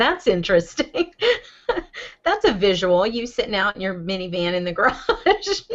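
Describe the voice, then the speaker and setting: A woman speaks in a Southern US accent at a medium pitch. Her pitch swings very widely while her pace stays moderate. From US South. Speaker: podcast co-host. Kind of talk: casual chat.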